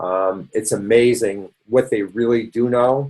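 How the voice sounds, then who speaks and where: This man speaks with a Boston accent. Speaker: doctor leading a health support session. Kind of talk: educational webinar lecture. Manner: casual, conversational with fillers.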